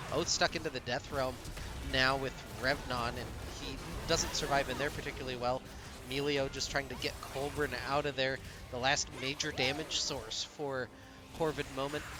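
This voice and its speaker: Over music in the background, a quiet man speaks in a flat monotone with long, frequent pauses. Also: moderate pace. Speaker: esports caster. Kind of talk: live commentary. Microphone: too quiet, old mic.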